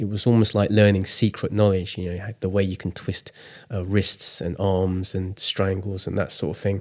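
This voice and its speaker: With an English accent, a man speaks at a moderate pace and fairly low pitch in a monotone, flat intonation. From England. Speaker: artist. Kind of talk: casual chat. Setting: studio.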